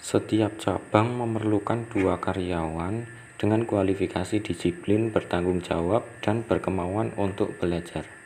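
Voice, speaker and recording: Fairly low in pitch, a man with an ordinary speaking voice talks at a fairly slow pace with fairly even intonation. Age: 20s. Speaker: small business owner. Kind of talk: interview. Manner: formal.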